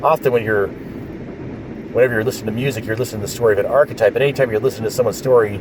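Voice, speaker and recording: Over noticeable background noise, a man at a medium pitch speaks at a very fast pace with fairly even intonation. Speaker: vlogger. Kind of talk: casual vlog. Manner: halting.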